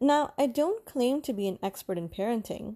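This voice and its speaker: The voice carries lively intonation and a dark, mellow tone. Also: woman. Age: 30s. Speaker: podcast host, new mother. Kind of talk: scripted podcast intro monologue.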